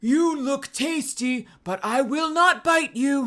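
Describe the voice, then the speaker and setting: A man uses a put-on character voice with an extremely high pitch. The recording is very clean, with a silent background. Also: fairly slow pace. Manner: menacing.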